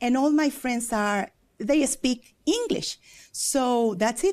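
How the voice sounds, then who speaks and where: Lively in intonation and high in pitch, a woman with a Spanish accent speaks fairly slowly on a very clean recording with a silent background. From Mexico. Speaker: preacher and worship leader. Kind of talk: TV interview. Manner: halting.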